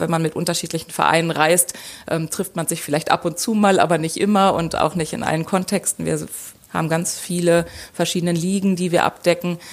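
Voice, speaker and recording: At a moderate pace, a woman speaks in a fairly low pitch with fairly even intonation. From Lower Saxony, Germany. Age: 40s. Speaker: football fan representative. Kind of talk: interview. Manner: hesitant with filler sounds.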